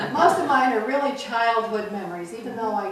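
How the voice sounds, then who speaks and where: A woman talks at a fairly quick pace with lively intonation. The recording carries noticeable background noise and audible room echo. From upstate New York (Interlaken). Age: 70s. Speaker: longtime local resident sharing memories. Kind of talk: oral history panel, casual reminiscing.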